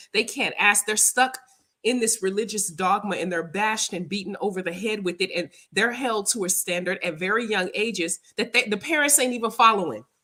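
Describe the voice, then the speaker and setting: A woman with an American accent speaks fairly quickly in an animated tone, her medium pitch rising and falling in an ordinary way. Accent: Southern US, comes and goes. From US South. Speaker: spiritual practitioner and livestream host. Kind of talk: casual livestream chat.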